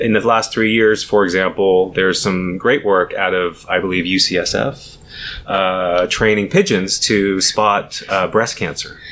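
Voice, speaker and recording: The man's fairly low voice moves at a fairly slow pace with fairly even intonation. Noticeable background noise runs underneath. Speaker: data science director. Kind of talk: casual interview explanation. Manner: halting, many filler words.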